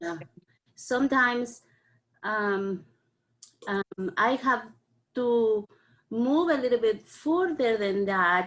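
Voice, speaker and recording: A woman talks at a very slow pace with long, frequent pauses. Her fairly high voice has lively intonation. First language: not English. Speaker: parent participant. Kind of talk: online community discussion. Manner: halting.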